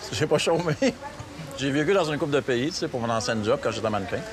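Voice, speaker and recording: With noticeable background noise, a man talks in very wide pitch swings, broken by long, frequent pauses. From Quebec. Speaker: travel agency owner. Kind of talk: casual interview. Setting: outdoors in the city. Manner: halting, searches for words.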